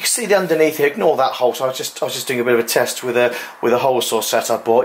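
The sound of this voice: A man talks at a very fast pace with lively intonation. Faint background noise can be heard. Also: medium pitch for a man.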